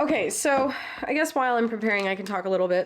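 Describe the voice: A woman's nasal voice at a fairly quick pace, with ordinary pitch variation.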